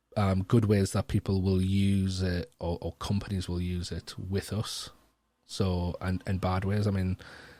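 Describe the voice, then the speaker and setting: A man with a Geordie accent speaks fairly slowly in a very deep, low, monotone voice of dark, mellow tone, recorded very cleanly against a silent background with a dry, close sound and no echo. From North East England. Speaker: education strategist and keynote speaker. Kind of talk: podcast interview answer. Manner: casual, hesitant, many fillers.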